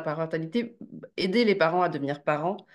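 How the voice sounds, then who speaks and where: A woman speaks at a fairly quick pace in a fairly low pitch. Her pitch varies in an ordinary way over a quiet background. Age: 30s. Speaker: journalist and author. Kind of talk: interview. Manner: hesitant with fillers.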